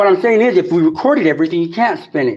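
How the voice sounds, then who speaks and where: A man speaks loudly in a high pitch. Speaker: citizen activist. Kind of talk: confrontational argument. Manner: animated.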